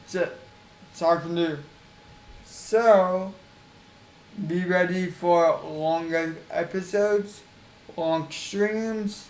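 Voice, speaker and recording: A man with a high pitch and fairly even intonation speaks at a very slow pace, leaving long, frequent pauses. Audible room echo and noticeable background noise fill the recording. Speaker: gaming streamer. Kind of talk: casual video introduction to a game challenge. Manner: repetitive.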